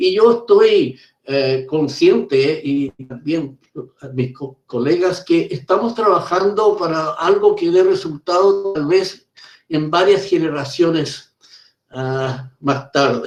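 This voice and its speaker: A man speaks at a very slow pace in a high-pitched voice. His pitch varies in an ordinary way. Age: 70s. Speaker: professor, conference speaker. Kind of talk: conference Q&A answer. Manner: halting, with many hesitations and repeats.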